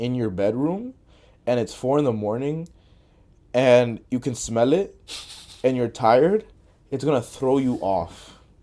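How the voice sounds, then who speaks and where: A man with a Spanish accent speaks at a moderate pace in a medium pitch, his dark, mellow tone carried by lively intonation. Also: very clean recording, silent background. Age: young. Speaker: podcast host. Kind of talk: casual chat.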